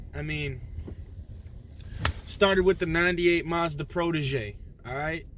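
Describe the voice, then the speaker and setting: A man with an American accent speaks in an animated tone at a moderate pace, his voice high for a man, with noticeable background noise. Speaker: YouTuber. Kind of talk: casual vlog monologue. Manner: animated, slangy.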